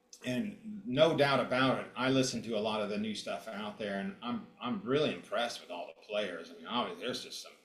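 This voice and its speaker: A man with a medium-pitched voice talks at a fairly quick pace with hardly any pauses, lively intonation and big swings in loudness, over noticeable background noise and audible room echo. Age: 60s. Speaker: guitarist and producer. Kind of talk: casual interview.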